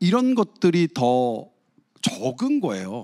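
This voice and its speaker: A man's high-pitched voice, dry and close with no echo, in a very clean recording with a silent background. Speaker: medical journalist, former neurosurgeon. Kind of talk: guest lecture with Q&A. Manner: animated storytelling.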